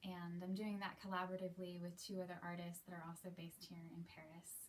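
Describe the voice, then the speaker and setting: A woman's somewhat breathy, fairly low-pitched voice with an American accent. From US, Seattle. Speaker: aerialist and cabaret performer. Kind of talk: casual monologue to camera.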